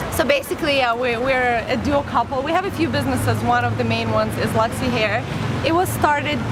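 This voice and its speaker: With music in the background and audible room echo, a woman speaks at a fairly quick pace. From Azerbaijan. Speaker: entrepreneur and YouTuber. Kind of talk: casual chat.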